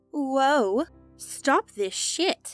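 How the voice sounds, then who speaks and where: A woman puts on a whiny character voice pitched high. Faint music plays behind her. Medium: read story. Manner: imperious, whiny like a queen.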